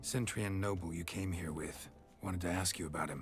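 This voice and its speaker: Putting on a character voice, a man growls out raspy, very deep, low-pitched speech at a fairly quick pace over clear background noise. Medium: video game. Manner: clipped, terse.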